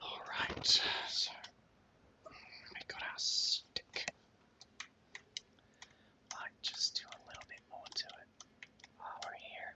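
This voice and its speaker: Whispering at a very slow pace, a man leaves long, frequent pauses and makes big swings in loudness over noticeable background noise. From Australia. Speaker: 3D artist. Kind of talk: ASMR whispered tutorial. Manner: whispered, soft-spoken, slow.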